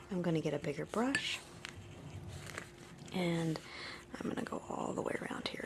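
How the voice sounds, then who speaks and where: A woman speaks in a relaxed tone against noticeable background noise. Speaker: art tutorial presenter. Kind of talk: tutorial. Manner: casual, relaxed; whispering, soft-spoken.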